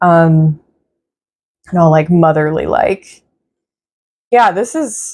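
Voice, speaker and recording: Speaking very slowly with long, frequent pauses, a woman uses a fairly low pitch and ordinary pitch variation. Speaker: tarot reader. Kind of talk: tarot reading. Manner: casual, hesitant; calm, motherly.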